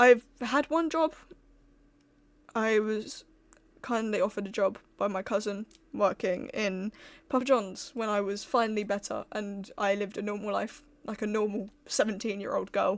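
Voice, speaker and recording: A soft-spoken woman talks at a moderate pace. She leaves long, frequent pauses. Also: fairly high pitch for a woman, ordinary pitch variation, very clean recording, silent background. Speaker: streamer. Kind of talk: casual chat.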